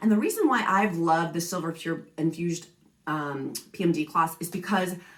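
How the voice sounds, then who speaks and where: Noticeable background noise sits behind a woman's voice. She speaks at a medium pitch with lively intonation. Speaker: apartment community promoter / vlogger. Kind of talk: product review vlog. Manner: fast.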